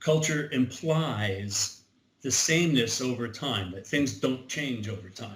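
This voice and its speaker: The man's voice is somewhat breathy. He speaks at a very slow pace. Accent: American. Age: 70s. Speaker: Civil War reenactment organizer. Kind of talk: interview. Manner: halting.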